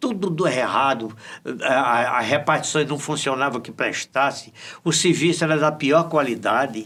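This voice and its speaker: At a moderate pace, a man speaks with a fairly high pitch and a bright, sharp tone. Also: ordinary pitch variation. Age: 80s+. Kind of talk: interview.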